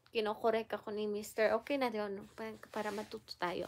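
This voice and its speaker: A woman talks at a fairly high pitch for a woman against a quiet background. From Philippines. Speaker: vlogger. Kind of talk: tutorial; casual chat. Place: home room. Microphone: phone near.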